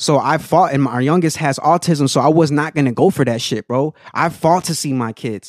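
This man has an ordinary speaking voice with an American accent, a fairly high pitch and ordinary pitch variation. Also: dry, close sound with no echo. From Aurora, Colorado. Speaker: TikTok food creator and performer. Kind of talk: casual chat.

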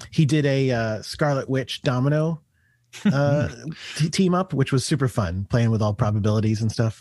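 An unremarkable speaking voice holds a moderate pace at very even loudness on a very clean recording with a silent background. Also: man, medium pitch for a man, lively intonation. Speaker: comic book editor. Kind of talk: casual chat.

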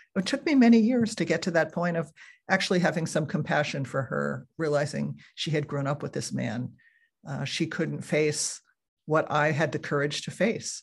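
Over a quiet background, a woman with a very deep, low pitch and vocal fry talks at a moderate pace with lively intonation. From New Jersey. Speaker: author and writing teacher. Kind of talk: interview. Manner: calm, warm.

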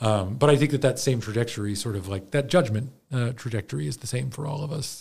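A very fast, somewhat breathy man's voice in an American accent, medium in pitch, with lively intonation and hardly any pauses. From US, Baltimore area. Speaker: theater program director and actor. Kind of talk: interview conversation. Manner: halting, many fillers and restarts.

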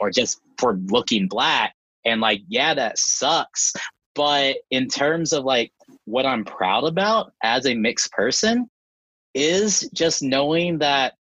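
Loudness stays very even as a man speaks at a very slow pace. His fairly high pitch swings very widely. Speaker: podcast guest, university student. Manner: joyful, upbeat.

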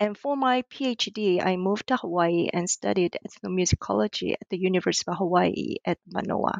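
A woman at medium pitch with a Korean accent, ordinary pitch variation and hardly any pauses. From South Korea. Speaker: ethnomusicology lecturer and author. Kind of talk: interview. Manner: hesitant, many fillers.

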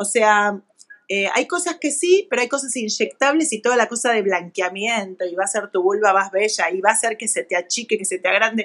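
A woman's fairly high voice carries lively intonation at a moderate pace. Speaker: gynecologist and sexologist. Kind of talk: casual interview on live video. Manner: animated.

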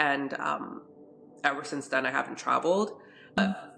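Noticeable background noise sits behind a woman whose intonation is fairly even. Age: 30s. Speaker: fashion content creator. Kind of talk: personal testimony in interview. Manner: halting, many fillers.

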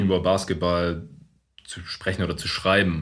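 A man's somewhat breathy voice. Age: 30s. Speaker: podcast host. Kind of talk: casual chat. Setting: meeting room in coworking space. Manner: deeper podcast voice.

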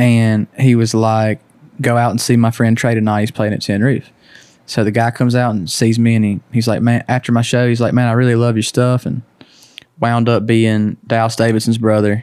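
A man with a Southern US accent speaks at a fairly quick pace and medium pitch, using monotone, flat intonation and very even loudness, with a dry, close sound and no echo. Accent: Southern US (Georgia). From Georgia, US South. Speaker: country singer. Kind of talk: casual chat.

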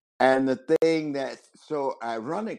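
Speaking at a very slow pace, a man has a medium pitch and a dark, mellow tone. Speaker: actor and former teacher. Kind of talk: casual chat.

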